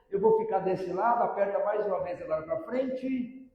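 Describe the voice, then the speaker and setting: A man's high-pitched voice with lively intonation and an animated tone, at a moderate pace, with audible room echo. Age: 60s. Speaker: motivational speaker and illusionist. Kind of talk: public lecture to parents and teachers. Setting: stage with audience.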